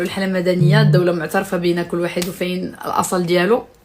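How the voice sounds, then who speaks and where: Over noticeable background noise, a woman speaks at a moderate pace and medium pitch in an animated tone. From Morocco, Tangier. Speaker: social media influencer. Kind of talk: casual live stream chat.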